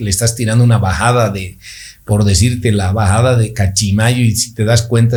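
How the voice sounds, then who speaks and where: A somewhat breathy, dark, mellow voice at a moderate pace, monotone and flat in intonation, with audible room echo. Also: man. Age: 50s. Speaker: orthodontist and amateur cyclist. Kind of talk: casual interview. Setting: studio.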